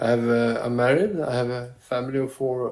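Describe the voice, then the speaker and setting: This man's voice sits at a medium pitch and has a dark, mellow tone. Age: 60s. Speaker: school principal. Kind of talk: interview. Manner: halting, repeats words.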